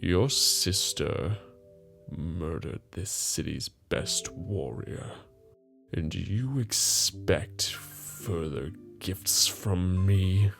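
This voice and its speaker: A man puts on a character voice, very deep and low, with lively intonation at a very slow pace. Faint music sits in the background. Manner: menacing, cold.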